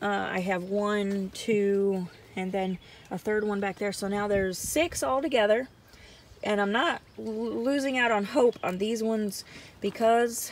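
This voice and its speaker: A woman talks at a fairly slow pace with ordinary pitch variation. The sound is dry, with no echo. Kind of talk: casual vlog chat. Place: garden. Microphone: phone near.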